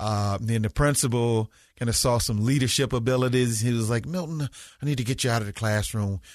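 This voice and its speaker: Speaking in a Southern US accent at a fairly quick pace, a man of medium pitch keeps his loudness very even and his pitch variation ordinary against a quiet background. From US South. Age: 50s. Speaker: school principal. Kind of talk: interview conversation.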